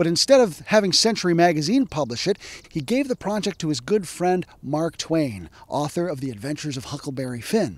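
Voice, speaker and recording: Dry sound with no echo carries a man speaking at a fairly quick pace with very wide pitch swings and hardly any pauses. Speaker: historian. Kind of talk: educational narration. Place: open country. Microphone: handheld.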